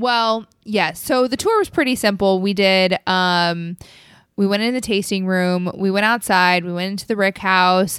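The recording is very clean, with a silent background. A woman with a normal speaking voice talks at a fairly slow pace, a medium pitch and fairly even intonation. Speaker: podcast host. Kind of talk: casual chat.

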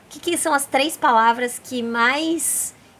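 In a high pitch with ordinary variation, a woman talks at a very slow pace. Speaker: podcast host, travel and self-discovery. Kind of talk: casual interview chat. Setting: bungalow by the beach, on location.

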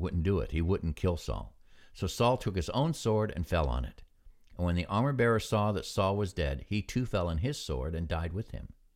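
A man with a very deep, low pitch, very wide pitch swings and vocal fry, at a moderate pace with an American accent, on a very clean recording with a silent background. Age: 60s. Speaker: Bible devotional podcaster, retired military. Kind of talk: devotional. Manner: relaxed, conversational, reflective, with filler words.

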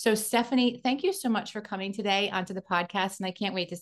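A woman with an unremarkable speaking voice talks at a fairly quick pace against a quiet background. Her pitch is medium with ordinary variation. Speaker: podcast host. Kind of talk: podcast interview.

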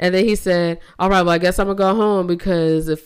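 In a very clean recording with a silent background, a woman speaks at a fairly low pitch. Her fairly quick delivery has an animated tone and ordinary pitch variation. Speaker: podcast co-host. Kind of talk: casual chat. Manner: animated, casual.

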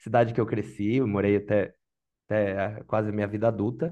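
Moving at a fairly quick pace, a man speaks in a dark, mellow tone. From Brazil, Santa Catarina highlands (Lages area). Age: 30s. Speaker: product manager job seeker. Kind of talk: mock job interview, casual.

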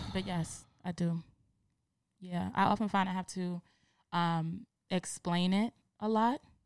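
A woman with an American accent speaks at a fairly slow pace in a fairly low pitch, with fairly even intonation and long, frequent pauses. The recording is very clean, with a silent background and a dry, close sound with no echo. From New York City, the Bronx. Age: 30s. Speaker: podcast guest. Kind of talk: casual chat.

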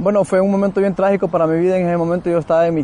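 A man talks with fairly even intonation over noticeable background noise. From Central America. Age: young. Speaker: former gang member and drug user. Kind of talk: testimony. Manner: halting.

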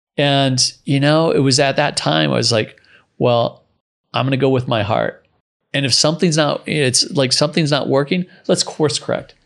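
Vocal fry over a quiet background, with very even loudness and a fairly slow pace. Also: man. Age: 40s. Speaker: entrepreneur and surfer. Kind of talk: interview.

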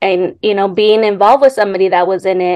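A woman speaks with a Californian accent at a medium pitch. Her moderate pace comes through a dry, close sound with no echo. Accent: Californian American. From Los Angeles, San Fernando Valley. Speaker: graduate student. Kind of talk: interview.

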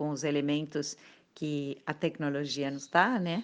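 With a Spanish accent and a very deep, low pitch, a woman talks at a very slow pace over a quiet background. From Argentina, Buenos Aires. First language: Spanish (speaking Portuguese). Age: 50s. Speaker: circus artist. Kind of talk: interview.

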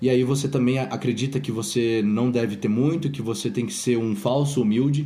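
With audible room echo, a man at a medium pitch speaks at a fairly quick pace in a dark, mellow tone. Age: 20s. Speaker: podcast host and fitness business owner. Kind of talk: casual chat.

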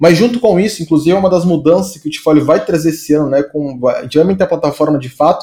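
A man with a high pitch, a dark, mellow tone, ordinary pitch variation, and a fairly quick pace. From São Paulo state, Brazil (Santo André). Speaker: designer. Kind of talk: casual interview chat.

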